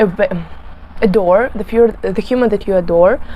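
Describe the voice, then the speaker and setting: Noticeable background noise sits behind the voice. A woman speaks with a Russian accent. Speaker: beauty vlogger. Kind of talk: casual talk to camera while doing makeup. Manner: halting, many fillers and self-corrections.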